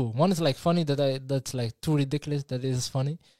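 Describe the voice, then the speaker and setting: A man speaks with a non-native accent in a very clean recording with a silent background. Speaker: podcast co-host. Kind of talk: casual chat. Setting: live stream. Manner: fast talker; stutters when speaking fast.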